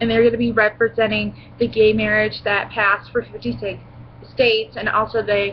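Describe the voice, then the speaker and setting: The speech moves at a moderate pace. Light background noise can be heard. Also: woman. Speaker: vlogger. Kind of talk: casual haul vlog chat. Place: home room. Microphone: webcam.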